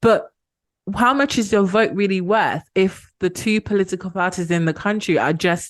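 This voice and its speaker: A woman is speaking. She has a British accent. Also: quiet background. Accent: very British. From Ghana. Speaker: activist. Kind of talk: podcast interview.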